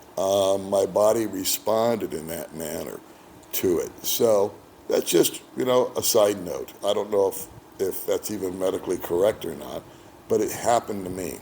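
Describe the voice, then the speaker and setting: Moderate pace and a relaxed tone from a man with an American accent, against noticeable background noise. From United States. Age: 60s. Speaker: expat boyfriend of the channel host. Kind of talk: casual interview. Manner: relaxed, conversational with fillers.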